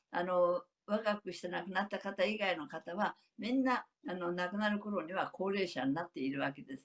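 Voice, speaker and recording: A woman talks at a fairly quick pace against a quiet background. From Japan. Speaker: elderly app developer; panelist. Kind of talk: recorded interview. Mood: warm, smiling. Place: home room. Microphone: webcam.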